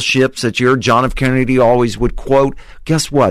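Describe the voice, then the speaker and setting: Here is an ordinary speaking voice at a moderate pace. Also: man. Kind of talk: casual radio interview. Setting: radio studio.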